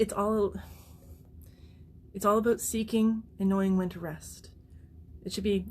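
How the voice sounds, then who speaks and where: Fairly slow, somewhat breathy speech from a woman with monotone, flat intonation. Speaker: artist running a charity fundraiser. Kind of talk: livestream monologue. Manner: halting, with repetitions.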